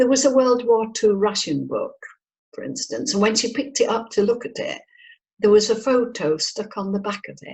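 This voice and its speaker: The speaker has an English accent, ordinary pitch variation and a moderate pace, with big swings in loudness. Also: woman, fairly high pitch for a woman. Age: 70s. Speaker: psychic medium and spirit artist. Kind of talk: interview.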